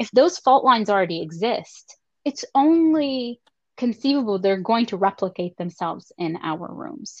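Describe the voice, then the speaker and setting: A woman's fairly high voice at a moderate pace, with very wide pitch swings and big swings in loudness, in a dry, close sound with no echo. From Lebanon. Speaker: clinical psychology professor. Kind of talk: interview conversation.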